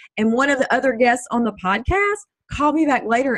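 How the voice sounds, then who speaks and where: This woman speaks with a strong Texas accent. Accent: strong Texas twang. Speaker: Army veteran and speaker. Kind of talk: casual interview chat.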